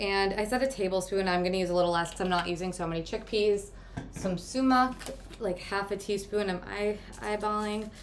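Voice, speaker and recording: A woman talks at a fairly quick pace with fairly even intonation, and the room echo is audible. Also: medium pitch for a woman. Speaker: meal prep coach and cooking host. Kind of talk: live cooking tutorial. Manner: fast.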